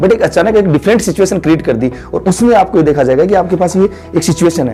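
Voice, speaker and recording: The speaker's pitch varies in an ordinary way, with music playing in the background. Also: man. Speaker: maths teacher. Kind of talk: interview answer, explanatory teaching talk.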